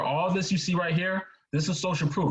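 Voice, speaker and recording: A man speaks in a somewhat breathy voice. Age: 20s. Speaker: real estate investor and speaker. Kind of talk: webinar presentation.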